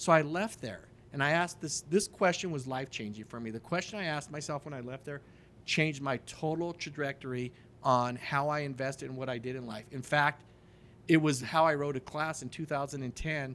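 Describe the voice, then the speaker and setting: A man's plain, everyday voice, fairly high-pitched, at a fairly quick pace, with ordinary pitch variation and big swings in loudness. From Denver, Colorado. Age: 50s. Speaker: real estate investor. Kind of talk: casual interview chat.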